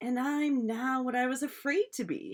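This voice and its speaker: Putting on a character voice, a woman speaks at a high pitch. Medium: read story.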